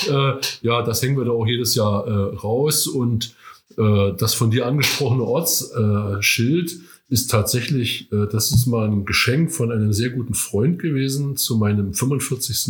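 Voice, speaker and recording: A somewhat breathy man at a very even loudness. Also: medium pitch for a man, ordinary pitch variation, fairly slow pace. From Rügen, northern Germany. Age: 60s. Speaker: veteran amateur runner. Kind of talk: interview. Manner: hesitant, many fillers.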